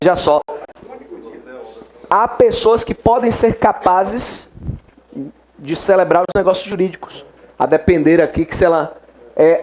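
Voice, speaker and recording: A man with a high voice and ordinary pitch variation talks through clear background noise. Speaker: law exam-prep teacher. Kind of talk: classroom lecture. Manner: fast.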